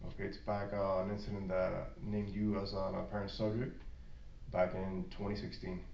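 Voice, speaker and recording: A man speaks at a fairly low pitch with a monotone, flat intonation. Room echo is audible. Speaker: police detective. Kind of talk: police interview. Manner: fast; halting, repeats words.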